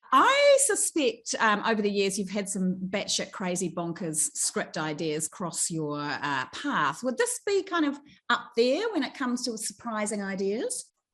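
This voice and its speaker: A woman with a New Zealand accent, fairly high in pitch with very wide pitch swings, at a fairly slow pace with hardly any pauses, over a quiet background. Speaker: entertainment reporter. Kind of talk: piece to camera; celebrity interviews.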